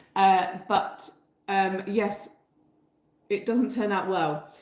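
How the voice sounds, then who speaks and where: Audible room echo surrounds a woman as she talks. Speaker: bread baking teacher. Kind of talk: livestream tutorial chat. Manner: hesitant with many fillers.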